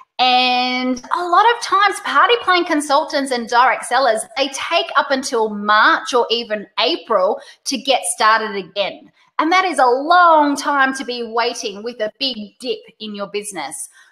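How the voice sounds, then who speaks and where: A woman with an Australian accent speaks in a raised, projected, high voice that is bright, sharp and animated. Her intonation is lively and her pace fairly slow. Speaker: webinar host, direct sales trainer. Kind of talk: webinar presentation. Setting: live online webinar.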